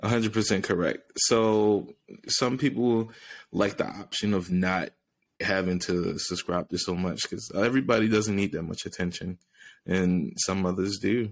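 A man's fairly low, plain, everyday voice, fairly even in intonation, at a moderate pace, on a very clean recording with a silent background. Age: 30s. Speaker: nurse practitioner and entrepreneur. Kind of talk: casual interview.

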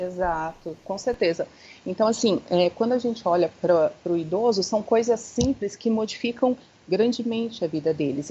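The pace of this woman's speech is moderate. Her pitch moves with ordinary variation. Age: 30s. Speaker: founder of a Montessori centre for the elderly. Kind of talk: interview. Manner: hesitant, many fillers.

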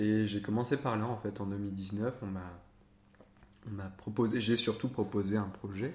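A man's somewhat breathy, fairly low voice at a fairly slow pace, with long, frequent pauses. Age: 20s. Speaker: theatre director. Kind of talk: interview. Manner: halting.

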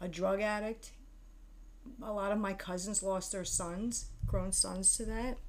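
There is audible room echo around a woman speaking at a medium pitch. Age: 50s. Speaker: mother of the host, aspiring screenwriter. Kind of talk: casual chat.

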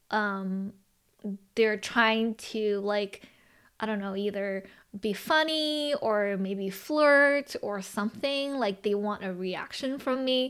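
Very slowly and with a Chinese accent, a woman speaks at a fairly high pitch with ordinary variation, on a very clean recording with a silent background. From Los Angeles, US. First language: Mandarin Chinese. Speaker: podcast host and business owner. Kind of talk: casual chat. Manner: halting, with many filler words.

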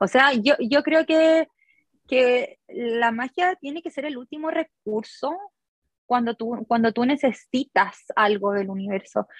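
Speaking at a very slow pace, a woman uses a high pitch and lively intonation, recorded with a dry, close sound and no echo. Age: 30s. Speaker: designer and small business owner. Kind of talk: interview.

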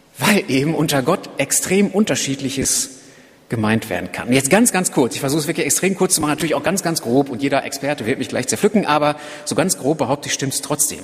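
A man's fairly high, lively voice at a very fast pace, over noticeable background noise. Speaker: preacher. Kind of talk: sermon. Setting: church. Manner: earnest, driven, urgent; conversational, explanatory, lightly humorous.

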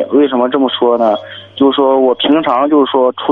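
A man speaks at a moderate pace in a medium-pitched voice with fairly even intonation. Noticeable background noise sits behind him. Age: 30s. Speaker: caller, driver. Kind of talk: phone-in advice call.

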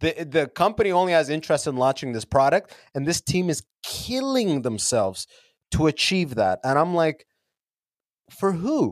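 With a Canadian accent, a man speaks at a moderate pace and a fairly high pitch. His pitch swings very widely, and the sound is dry and close with no echo. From Canada, London, Ontario. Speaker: podcaster and comedian. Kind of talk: casual interview chat. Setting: remote call from a basement.

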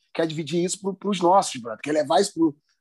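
Dark, mellow tone with ordinary pitch variation and a dry, close sound free of echo. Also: man. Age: 40s. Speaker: podcast co-host, musician. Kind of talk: casual interview chat. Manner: animated.

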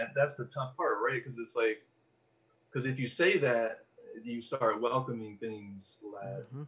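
A man's fairly slow speech in a Californian accent, broken by long, frequent pauses. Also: big swings in loudness. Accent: General American, California. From Los Angeles. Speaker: podcast producer. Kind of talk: casual chat.

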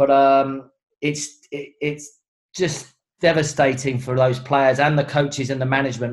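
A man with a London accent and a medium pitch speaks at a fairly slow pace in a monotone, flat intonation. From southeast London. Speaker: rugby coach. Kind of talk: casual chat. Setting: video call.

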